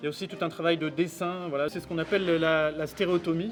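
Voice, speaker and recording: With music in the background, a man speaks at a fairly quick pace in a high pitch. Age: 40s. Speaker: stonemason and site foreman. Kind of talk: documentary interview. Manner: hesitant, many fillers.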